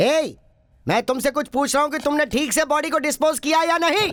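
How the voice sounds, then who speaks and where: Here is a put-on character voice with a high pitch. It moves along at a fairly quick pace. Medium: fan dub. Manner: commanding.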